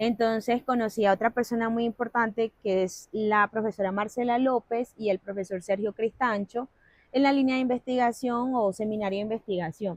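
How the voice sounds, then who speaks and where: Heard in a dry, close sound with no echo, a woman talks at a moderate pace and fairly high pitch with fairly even intonation. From La Guajira, Colombia (Wayuu territory). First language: Wayuunaiki (speaking Spanish). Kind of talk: interview conversation.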